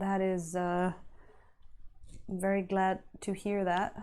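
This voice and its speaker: At a very slow pace, a woman speaks with a medium pitch and a dark, mellow tone. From Italy. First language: Italian. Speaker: miniature painter streamer. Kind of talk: casual live-stream chat. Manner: hesitant, searching for words.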